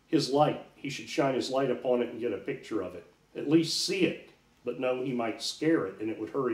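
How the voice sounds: Ordinary pitch variation throughout a natural reading voice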